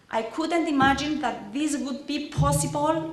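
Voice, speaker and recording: A woman speaks at a high pitch. Background noise is noticeable, and so is room echo. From Cyprus. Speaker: parent of program participant. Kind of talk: ceremony speech. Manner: halting.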